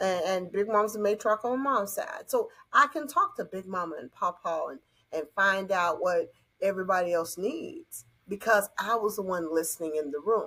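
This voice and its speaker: In a very clean recording with a silent background, a woman with a Southern US accent speaks at a moderate pace and medium pitch, her bright, sharp tone carrying lively intonation. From US South. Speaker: conflict resolution coach. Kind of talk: podcast interview. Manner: animated.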